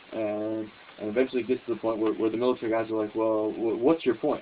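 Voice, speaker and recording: A man speaks at a medium pitch. Behind him, noticeable noise is audible. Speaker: political commentary host. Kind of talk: casual talk to camera. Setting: phone camera recording.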